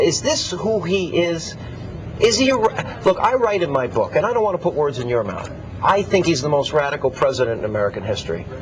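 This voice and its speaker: A man talks in a high voice as noticeable background noise plays behind him. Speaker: TV talk show host. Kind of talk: TV interview questions.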